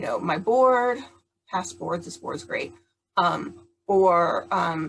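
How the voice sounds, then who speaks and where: A woman speaks loudly at a medium pitch. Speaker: charity founder and patient advocate. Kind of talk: prerecorded talk. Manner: occasionally stumbling and stuttering.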